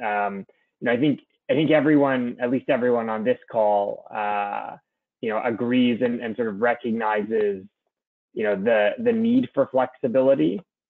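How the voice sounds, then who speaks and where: In a Canadian accent, a man speaks at a moderate pace and medium pitch with ordinary pitch variation. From Canada. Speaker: energy consultant. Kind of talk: webinar presentation. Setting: online webinar call. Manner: halting, many fillers and repetitions.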